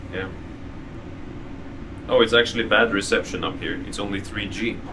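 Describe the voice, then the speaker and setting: Noticeable background noise sits behind a man speaking at a moderate pace. His medium pitch stays monotone and flat while his loudness swings widely. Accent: Norwegian. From Norway. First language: Norwegian. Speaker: travel vlogger. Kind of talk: casual vlog narration.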